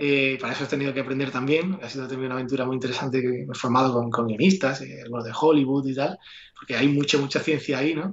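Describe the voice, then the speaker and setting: Talking at a very fast pace, a man keeps his medium pitch in a fairly even intonation. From Andalusia, Seville province. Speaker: entrepreneur and investor. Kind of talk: interview.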